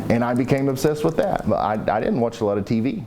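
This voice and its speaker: A man with an Appalachian accent and ordinary pitch variation, amid audible room echo and noticeable background noise. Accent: Appalachian Kentucky. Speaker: weather YouTuber. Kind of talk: interview. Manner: casual, halting with fillers.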